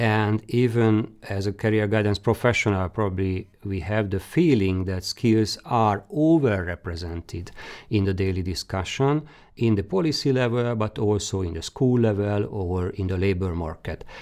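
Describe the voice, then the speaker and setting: Speaking in a Hungarian accent, a man uses a fairly low pitch with ordinary pitch variation at a moderate pace. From Hungary. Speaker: career guidance expert. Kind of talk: lecture. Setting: webinar. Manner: halting.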